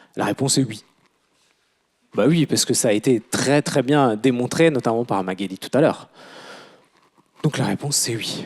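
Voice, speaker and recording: A man's medium-pitched voice with ordinary pitch variation, a moderate pace, long and frequent pauses, and a dry, close sound with no echo. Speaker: recruitment consultant. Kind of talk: conference talk. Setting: conference room with audience. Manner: halting, many hesitations. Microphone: quiet at first, mic moved closer.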